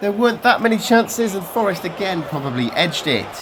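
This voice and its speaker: A fairly quick pace in an English Midlands accent, over noticeable background noise. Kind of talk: football matchday vlog voiceover.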